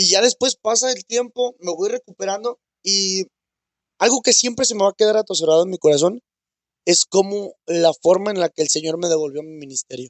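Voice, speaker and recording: This man speaks at a high pitch with lively intonation. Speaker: church minister. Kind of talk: testimony. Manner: halting.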